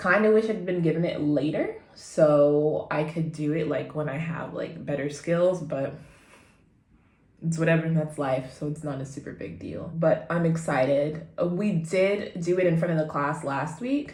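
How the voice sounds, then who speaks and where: A woman with a very deep, low pitch talks at a moderate pace with fairly even intonation. Her voice is somewhat breathy, and the room has audible echo. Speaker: vlogger and beginner actor. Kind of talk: casual vlog chat.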